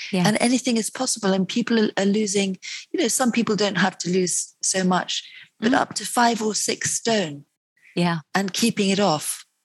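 Speaking with a British accent, a woman uses a medium pitch, ordinary pitch variation and a somewhat breathy voice at a moderate pace, in a dry, close sound with no echo. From UK. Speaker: nutritionist and author. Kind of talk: interview.

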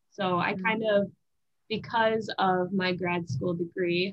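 Here is a woman with an ordinary speaking voice in an American accent. Her medium pitch follows fairly even intonation. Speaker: former college gymnast, physical therapy student. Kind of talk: casual chat.

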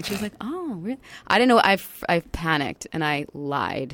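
A woman with an American accent speaks with lively intonation. Hers is an ordinary speaking voice. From New York. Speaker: TV news reporter. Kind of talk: casual chat. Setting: studio.

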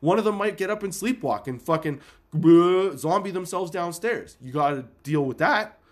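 In a very clean recording with a silent background, a man with a high pitch speaks in an animated tone at a fairly quick pace. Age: 30s. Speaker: podcast host. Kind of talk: casual monologue.

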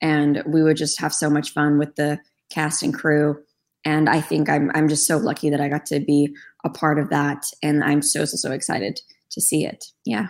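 A woman speaks at a moderate pace in a very deep, low voice. Her intonation stays fairly even. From Turkey (Istanbul). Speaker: voice actress. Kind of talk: casual interview chat.

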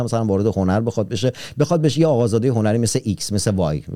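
The man's tone is dark and mellow. He speaks at a very fast pace with lively intonation. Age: 30s. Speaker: podcast host. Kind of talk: casual interview.

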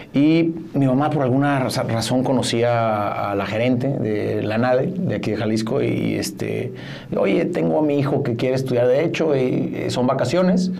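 Heard through noticeable background noise and audible room echo, a man speaks at a fairly slow pace. His pitch is medium. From Mexico, Mazatlán. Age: 40s. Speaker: corporate lawyer and businessman. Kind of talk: casual interview.

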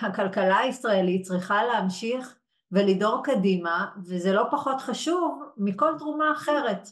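A woman talks at a very slow pace yet with hardly any pauses. Her fairly high voice carries lively intonation. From Israel, Yehud. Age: 40s. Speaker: HR executive and coach. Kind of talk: webinar interview. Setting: live webinar.

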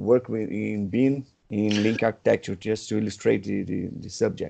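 Speaking with a Portuguese accent, a man has a dark, mellow tone. He goes at a moderate pace over a quiet background. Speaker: podcast host. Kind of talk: interview.

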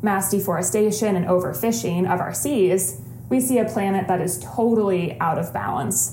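Against noticeable background noise and audible room echo, a woman speaks at a medium pitch and moderate pace with very wide pitch swings, in a Midwestern American accent. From Ohio, west side of Cleveland. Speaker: podcast co-host, sustainability professional. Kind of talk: casual interview.

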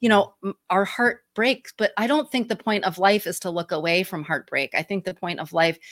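A woman with a Midwestern accent and ordinary pitch variation comes through dry and close with no echo on a very clean recording with a silent background. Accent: Midwestern twang. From Michigan, US Midwest. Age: 50s. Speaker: grief activist and podcast host. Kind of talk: interview conversation. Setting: live video stream.

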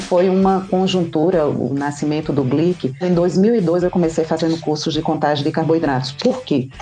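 Noticeable background noise sits behind a woman speaking with very even loudness and ordinary pitch variation. She hardly pauses. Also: moderate pace. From Brazilian Northeast. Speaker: endocrinologist. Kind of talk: podcast interview.

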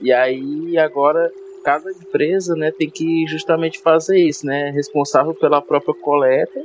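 Over noticeable background noise, a man talks at a fairly slow pace in a fairly high voice with fairly even intonation. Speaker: podcast host. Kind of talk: casual interview.

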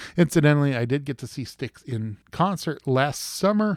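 In a plain, everyday voice, a man speaks at a moderate pace with lively intonation in a very clean recording with a silent background and a dry, close sound with no echo. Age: 40s. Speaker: podcast host, music reviewer. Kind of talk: casual monologue review.

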